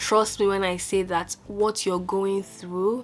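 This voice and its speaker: Music plays in the background as a woman speaks at a medium pitch. Her pace is fairly slow and her intonation fairly even. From Nigeria (Lagos). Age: 20s. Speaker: YouTuber, software company founder. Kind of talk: casual advice talk to camera.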